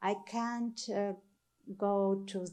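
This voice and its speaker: Someone with a Ukrainian accent talks at a very slow pace. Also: woman. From Ukraine, Kyiv region. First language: Ukrainian or Russian. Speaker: artist. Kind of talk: artist talk to audience. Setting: stage with audience. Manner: halting, searching for words.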